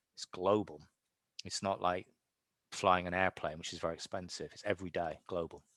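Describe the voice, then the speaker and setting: Against a quiet background, a man with a very deep, low pitch talks at a fairly quick pace, with big swings in loudness, long, frequent pauses and a dry sound with no echo. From United Kingdom. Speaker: professor. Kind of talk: lecture Q&A. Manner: animated. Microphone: video call.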